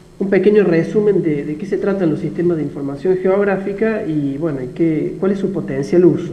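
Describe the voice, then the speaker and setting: Audible room echo surrounds a man with a high pitch who talks at a fairly quick pace with hardly any pauses. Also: ordinary pitch variation. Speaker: university lecturer. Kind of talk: lecture. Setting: video call.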